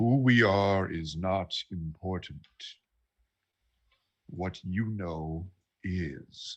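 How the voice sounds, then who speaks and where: A man's put-on character voice, booming and very deep, with ordinary pitch variation, a very slow pace and long, frequent pauses. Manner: menacing.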